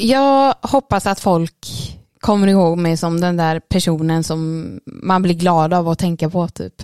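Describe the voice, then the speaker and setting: At a fairly slow pace, a woman speaks with a fairly low pitch and ordinary pitch variation. The sound is dry and close, with no echo. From Swedish west coast. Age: 20s. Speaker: nurse. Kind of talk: interview. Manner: animated.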